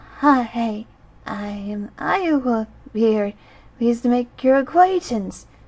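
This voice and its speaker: A put-on character voice comes out shaky and nervous in tone. The pace is fairly slow. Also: woman, fairly high pitch for a woman. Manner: nervous, polite.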